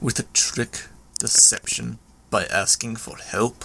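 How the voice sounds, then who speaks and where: A man puts on a growling character voice at medium pitch. He speaks at a fairly slow pace. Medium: read story. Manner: menacing, proud, clipped.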